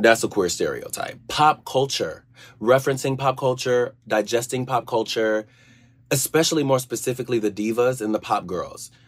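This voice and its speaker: Speaking at a moderate pace with an American accent, a man uses an unremarkable speaking voice at medium pitch and fairly even intonation, in a very clean recording with a silent background. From US, Georgia. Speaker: friend of the hosts answering questions. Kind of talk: pre-recorded casual answers.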